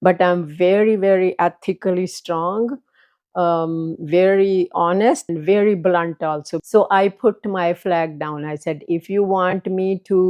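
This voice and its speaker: A woman talks in a Punjabi Indian accent at a medium pitch. Her pace is fairly slow and her intonation fairly even. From Punjab, India (born near Lahore). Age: 80s+. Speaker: retired transit operator and former professor. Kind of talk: life story interview. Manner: hesitant, with many fillers.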